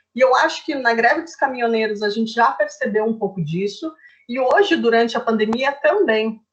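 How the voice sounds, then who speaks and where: Fairly high in pitch, a woman speaks with ordinary pitch variation and big swings in loudness. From southern Brazil, Curitiba. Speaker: nutritionist. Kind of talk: informal presentation in a livestream chat. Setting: online livestream. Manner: fast.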